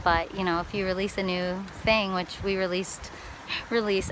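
A woman's voice in dry sound with no echo, over light background noise. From Wisconsin. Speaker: touring musician and vlogger. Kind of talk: casual video diary. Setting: outdoors by water. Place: waterside. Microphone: phone near.

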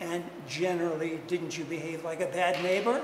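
A man speaks at a moderate pace and fairly high pitch. His intonation is fairly even, and audible room echo surrounds him.

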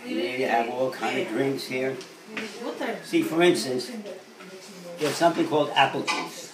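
Over noticeable background noise, a man with fairly high pitch and lively intonation talks at a moderate pace, leaving long, frequent pauses. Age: 80s+. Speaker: elderly man giving tips. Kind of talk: casual talk, informal interview answers. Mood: chatty, mildly opinionated. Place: kitchen. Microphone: phone near.

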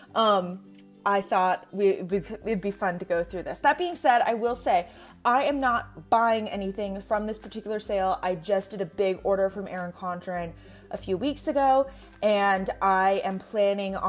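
A woman talks at a moderate pace with ordinary pitch variation. Faint music plays in the background. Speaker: planner vlogger. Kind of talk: casual vlog chat. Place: home room. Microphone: earbuds.

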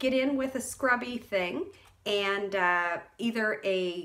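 The woman's voice has a fairly bright tone.

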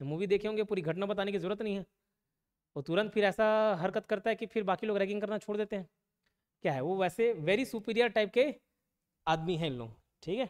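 A man with a high pitch speaks at a moderate pace with ordinary pitch variation, over a quiet background. He takes long, frequent pauses. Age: 20s. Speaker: exam coaching teacher; coaching teacher. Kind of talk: classroom lecture; lecture. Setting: live classroom with students. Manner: repetitive, emphatic. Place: classroom. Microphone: lapel.

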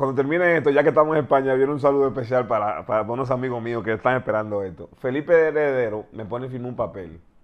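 A man talking at a very fast pace with hardly any pauses and ordinary pitch variation, over a quiet background. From Dominican Republic, San Cristóbal province; Dominican Republic. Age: 40s. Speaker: former basketball player; interviewee. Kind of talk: interview, personal life story; interview answer. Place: studio.

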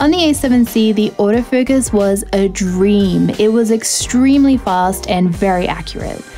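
A woman talks at a fairly slow pace, with faint music in the background. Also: ordinary pitch variation. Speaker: photography content creator. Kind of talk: tutorial review talk. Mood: upbeat, friendly. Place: home room.

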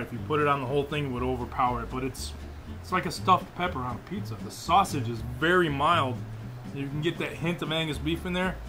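A man talks at a very fast pace with ordinary pitch variation. Clear music sounds in the background. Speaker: cooking show host. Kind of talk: tasting commentary and show outro. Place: kitchen. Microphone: lapel.

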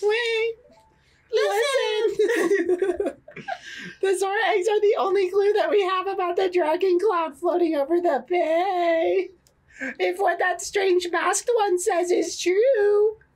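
A female-sounding put-on character voice at an extremely high pitch and a fairly slow pace. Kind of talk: player dramatically reading game text aloud. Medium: game stream. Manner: commanding, urgent, scolding.

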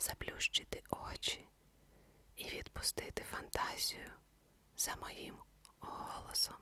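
Whispering at a very slow pace with long, frequent pauses, this voice comes through noticeable background noise. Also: woman. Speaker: ASMR sleep story narrator. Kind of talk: ASMR sleep introduction. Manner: whispered.

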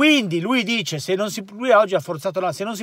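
The recording captures a man in a quiet background. The sound is dry, with no echo. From Italy. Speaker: football commentator. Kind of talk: casual football commentary chat. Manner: angry, cursing, indignant. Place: car. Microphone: phone near.

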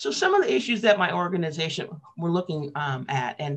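A woman with an American accent, very deep and low in pitch, with lively intonation and a fairly quick pace. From US West Coast, Portland, Oregon. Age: 60s. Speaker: labor radio host and union organizer; labor radio host. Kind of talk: interview. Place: home room. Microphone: webcam.

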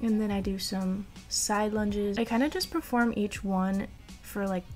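A woman's medium-pitched, slightly mellow voice at a fairly slow pace, with ordinary pitch variation and faint music in the background.

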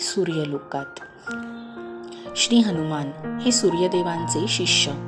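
A soft-spoken woman talks with lively intonation. Music plays in the background. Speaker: storyteller, narrator. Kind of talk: devotional story narration. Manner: soft-spoken, calm.

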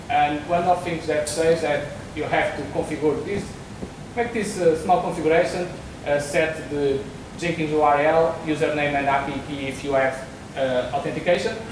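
With a Portuguese accent, a man speaks at a moderate pace and a fairly high pitch, with ordinary pitch variation. Audible room echo and noticeable background noise surround him. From Portugal, Porto. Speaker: software developer. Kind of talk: conference talk. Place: hall.

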